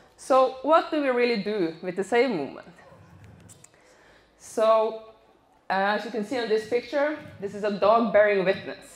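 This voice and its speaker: With a Norwegian accent, a woman speaks at a fairly high pitch with lively intonation. She leaves long, frequent pauses. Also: moderate pace. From northern Norway. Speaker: animal rights activist. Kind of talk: public talk. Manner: halting.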